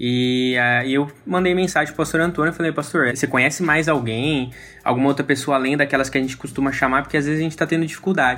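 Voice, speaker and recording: Very fast and with hardly any pauses, a man talks at a fairly high pitch. His intonation stays fairly even. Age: 20s. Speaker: church lay leader. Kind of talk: casual chat. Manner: halting.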